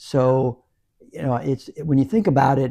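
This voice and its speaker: Medium in pitch with ordinary pitch variation, a man's voice comes across somewhat breathy with a dark, mellow tone. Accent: American. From US South, New Orleans. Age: 70s. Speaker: motorcyclist and martial artist. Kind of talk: podcast interview. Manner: halting, many fillers.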